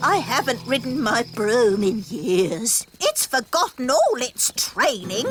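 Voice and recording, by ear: Faint music plays in the background as a cartoonish character voice with a fairly high pitch talks at a fairly slow pace.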